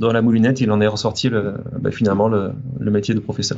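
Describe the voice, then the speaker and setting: A man of medium pitch, fairly quick pace, and fairly even intonation. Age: 30s. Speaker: teacher, former aeronautical engineer. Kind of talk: interview. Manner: halting, many hesitations.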